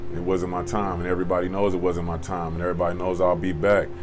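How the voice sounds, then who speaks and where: Over noticeable background noise and audible room echo, a man with an American accent speaks at a very fast pace. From Oklahoma City, US. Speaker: prison inmate. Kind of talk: interview testimony.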